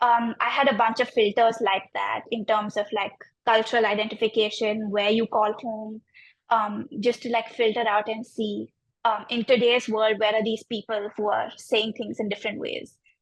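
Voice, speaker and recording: Speaking in an Indian accent, a woman holds a fairly high pitch with monotone, flat intonation. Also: moderate pace. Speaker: graphic designer. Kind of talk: interview about own design project. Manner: many fillers and hesitations (um, like).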